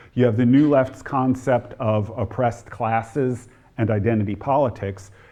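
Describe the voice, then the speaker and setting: Speaking at a moderate pace with fairly even intonation, a man with an American accent has a plain, everyday voice. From New Jersey (near Newark). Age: 60s. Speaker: historian and author. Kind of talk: lecture.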